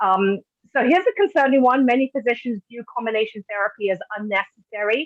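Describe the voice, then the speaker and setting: In a British accent, a woman talks fairly quickly at a fairly high pitch with ordinary pitch variation. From Britain. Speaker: patient advocate, webinar host. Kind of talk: webinar presentation.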